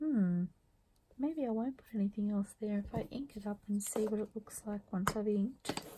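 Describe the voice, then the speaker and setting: Mumbling at a moderate pace, a woman uses a put-on character voice with a medium pitch. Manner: mumbling to herself.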